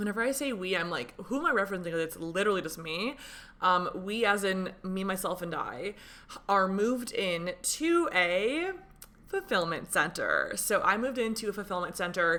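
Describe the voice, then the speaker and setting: A woman speaks at a moderate pace and a medium pitch. Her tone is bright and sharp, with lively intonation. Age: 20s. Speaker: podcast host, small business owner. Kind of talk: casual solo podcast talk. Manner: animated.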